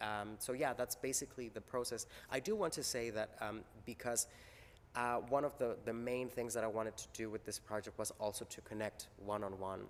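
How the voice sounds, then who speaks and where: A man with a Spanish accent talks at a fairly quick pace. His medium pitch carries fairly even intonation. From Mexico. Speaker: theater maker. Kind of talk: interview. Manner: halting, many fillers and repeats.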